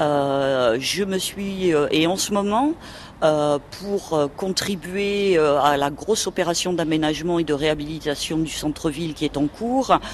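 A woman talks at a very slow pace and fairly low pitch, with ordinary pitch variation. Noticeable background noise runs underneath. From Toulouse, southern France. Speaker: local historian. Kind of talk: radio interview.

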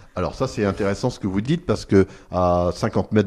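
A man with a dark, mellow tone and fairly low pitch talks at a very fast pace. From France, Picardy (Amiens area). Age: 50s. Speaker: archaeologist. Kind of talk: radio interview. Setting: on-location recording at an archaeological centre. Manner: hesitant, with fillers and repetitions.

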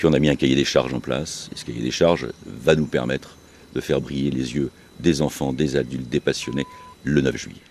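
Monotone, flat intonation at a fairly quick pace, over noticeable background noise. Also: man, very deep, low pitch for a man. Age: 50s. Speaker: local politician and cycling event host. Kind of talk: radio interview. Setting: outdoors in a park.

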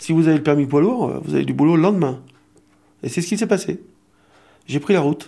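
With a fairly high pitch and a dark, mellow tone, a man talks at a fairly quick pace, with vocal fry and long, frequent pauses. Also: ordinary pitch variation. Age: 60s. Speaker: retiree. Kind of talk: interview testimony.

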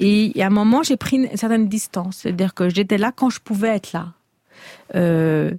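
A woman with a somewhat breathy, dark, mellow tone speaks at a moderate pace and medium pitch, in a very clean recording with a silent background and a dry, close sound with no echo. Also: ordinary pitch variation. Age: 50s. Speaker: novelist. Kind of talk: radio interview.

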